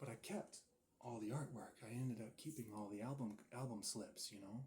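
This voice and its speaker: Soft-spoken and somewhat breathy, a man with a medium pitch and a dark, mellow tone talks at a fairly quick pace with fairly even intonation. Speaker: ASMR creator. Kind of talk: ASMR session, soft-spoken talk to camera. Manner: soft-spoken, calming.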